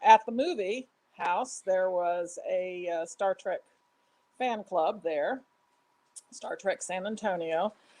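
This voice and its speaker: A woman speaks at a very slow pace with long, frequent pauses, her medium pitch carrying ordinary variation. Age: 60s. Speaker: fan club member, former club leader. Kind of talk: interview. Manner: halting.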